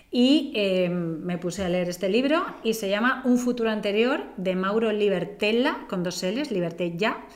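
Through audible room echo and noticeable background noise, a woman speaks with ordinary pitch variation. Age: 40s. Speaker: podcast co-host. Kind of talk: casual chat.

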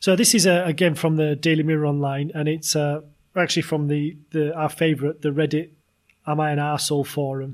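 At a fairly quick pace, a man with a fairly high pitch talks in a plain, everyday voice. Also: fairly even intonation. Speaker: podcast host. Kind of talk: casual comedy chat.

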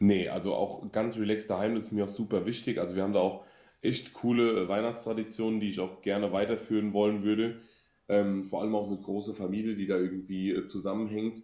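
Speaking fairly quickly, a man has a dark, mellow tone. His intonation is flat and monotone. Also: fairly low pitch for a man. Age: 30s. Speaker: party singer. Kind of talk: interview.

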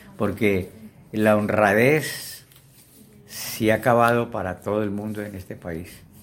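Noticeable background noise sits under a man's fairly low voice as he speaks at a fairly slow pace. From Colombia, Valle del Cauca. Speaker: interviewee, elderly witness of Colombian history. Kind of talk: oral history interview. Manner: halting.

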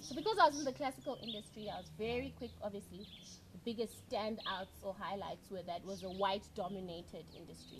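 Amid noticeable background noise, a woman speaks fairly quickly at a medium pitch with lively intonation. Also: big swings in loudness. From Zimbabwe and South Africa. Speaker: music director and conductor. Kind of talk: casual interview, personal storytelling. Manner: bubbly, animated.

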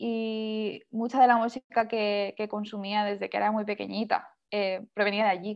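A woman talks at a fairly slow pace in a flat monotone, with hardly any pauses. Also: fairly high pitch for a woman. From Spain, Castellón area, small town. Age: young. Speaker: singer-songwriter. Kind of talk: interview.

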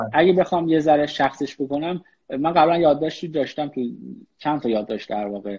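Very fast speech from a man, his voice fairly high, the pitch varying in an ordinary way. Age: 30s. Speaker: business executive. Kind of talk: online interview. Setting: Instagram live.

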